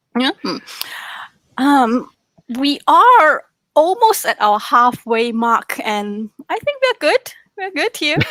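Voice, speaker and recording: A woman with a non-native accent speaks at a very slow pace, leaving long, frequent pauses. Her high voice swings very widely in pitch, recorded dry and close with no echo. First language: not English. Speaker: trainer. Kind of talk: interview questions.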